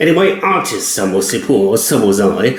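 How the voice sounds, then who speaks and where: With a German accent, a man speaks at a moderate pace amid noticeable background noise and audible room echo. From Germany. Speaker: cab driver and writer. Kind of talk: personal storytelling monologue.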